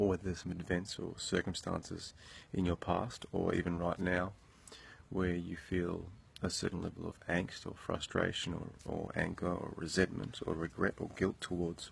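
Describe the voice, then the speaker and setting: Soft-spoken and very deep, a man talks at a moderate pace. His intonation is flat and monotone. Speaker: motivational vlogger. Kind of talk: motivational monologue. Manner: halting.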